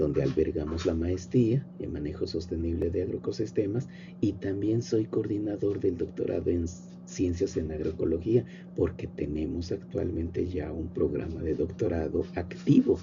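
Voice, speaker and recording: In a room with audible echo, a man with a very deep, low voice speaks at a moderate pace. His pitch varies in an ordinary way, with some vocal fry. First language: Nahuatl (speaking Spanish). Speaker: professor and agronomist. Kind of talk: lecture. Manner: informal, with fillers and repetitions.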